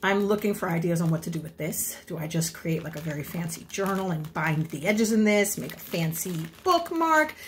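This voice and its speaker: The speech moves at a fairly quick pace. Light background noise can be heard. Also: woman. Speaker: amateur crafter vlogger. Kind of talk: casual vlog chat. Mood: playful, self-deprecating. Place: kitchen. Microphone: phone near.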